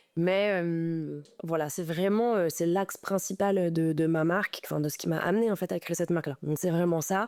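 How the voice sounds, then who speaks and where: A woman at a fairly quick pace with fairly even intonation, in a very clean recording with a silent background. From Paris. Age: 20s. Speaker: fashion designer. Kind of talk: interview. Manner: halting.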